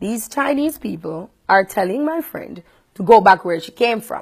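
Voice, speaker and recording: Somewhat breathy and animated, a woman speaks at a moderate pace with very wide pitch swings on a very clean recording with a silent background. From Jamaica. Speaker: radio host. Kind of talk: vlog monologue.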